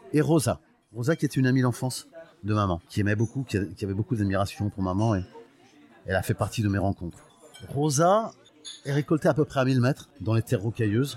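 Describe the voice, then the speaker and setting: Speaking at a fairly quick pace with long, frequent pauses, a man with a medium pitch and a somewhat breathy voice keeps his loudness very even while his intonation stays lively. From Portugal, raised in France (Paris suburbs). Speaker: music industry veteran and olive oil producer. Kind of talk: personal life story interview. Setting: restaurant lunch. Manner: halting.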